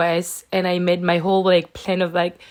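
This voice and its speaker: With a French accent, the speaker talks at a moderate pace. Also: woman. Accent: French accent, milder than before. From France. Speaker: vlogger. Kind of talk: casual vlog talk to camera. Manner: casual, with many fillers.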